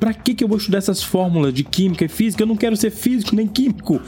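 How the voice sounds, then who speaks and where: A man with a Brazilian accent speaks very fast in a high voice, with ordinary pitch variation. Noticeable background noise sits behind him. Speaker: film podcast host. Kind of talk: casual chat.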